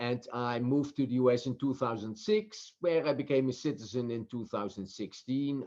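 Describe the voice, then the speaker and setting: With a Dutch accent, a man speaks at a moderate pace in a medium pitch with ordinary pitch variation against a quiet background. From Netherlands. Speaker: professor and author. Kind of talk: interview. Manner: halting, many fillers.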